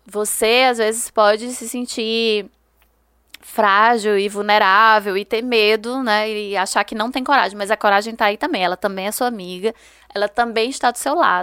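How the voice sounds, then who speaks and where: Her tone is bright and sharp, her pitch fairly high for a woman. The woman keeps a moderate pace and fairly even intonation. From Brazil, Ceará (Juazeiro do Norte). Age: 30s. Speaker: historian and writer. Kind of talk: interview.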